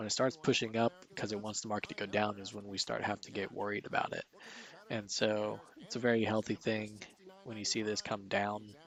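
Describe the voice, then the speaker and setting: A quiet man speaks at a fairly quick pace in a fairly low pitch with monotone, flat intonation. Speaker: stock market streamer. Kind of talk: live market commentary.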